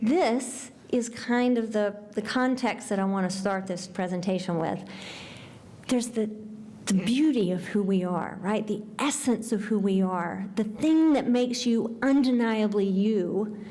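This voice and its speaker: With an American accent, a woman speaks at a fairly high pitch with ordinary pitch variation and very even loudness, and audible room echo surrounds her voice. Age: 60s. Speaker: nonprofit founder and speaker. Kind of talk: award talk.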